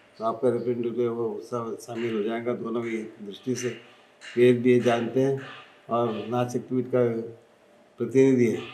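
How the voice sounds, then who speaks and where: A man's medium-pitched, monotone, flat voice in audible room echo. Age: 80s+. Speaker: spiritual leader. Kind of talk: interview.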